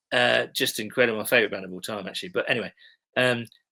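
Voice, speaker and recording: A man speaks with an English accent on a very clean recording with a silent background. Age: middle-aged. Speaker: TV blogger and sports fan. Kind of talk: casual chat.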